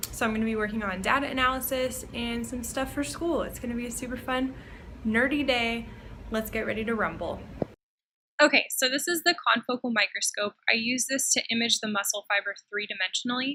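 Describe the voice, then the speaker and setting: A woman's high voice at a fairly quick pace, with ordinary pitch variation. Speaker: vlogger and graduate student researcher. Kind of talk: vlog. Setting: university lab. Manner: casual, chatty.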